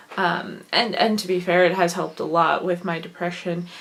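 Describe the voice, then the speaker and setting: Noticeable background noise sits behind a woman with a slight Wisconsin accent. She speaks at a moderate pace and a medium pitch. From Wisconsin, US Midwest. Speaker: vlogger and writer. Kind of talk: casual vlog monologue.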